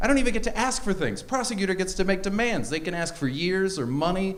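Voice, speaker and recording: Audible room echo carries a man's high-pitched voice as he talks at a fairly quick pace with an American accent. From Canada. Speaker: stand-up comedian. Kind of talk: stand-up. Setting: stage with audience.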